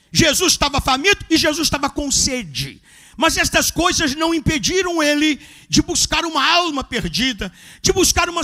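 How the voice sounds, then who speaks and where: An extremely high-pitched male voice, raised and projected, bright and sharp in tone, animated, with ordinary pitch variation. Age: 70s. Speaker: pastor. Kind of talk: sermon.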